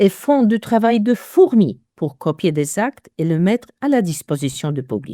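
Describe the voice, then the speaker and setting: Speaking with a Polish accent, a woman uses very wide pitch swings and a dark, mellow tone, heard in a very clean recording with a silent background and a dry, close sound with no echo. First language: Polish (speaking French). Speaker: genealogist. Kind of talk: interview.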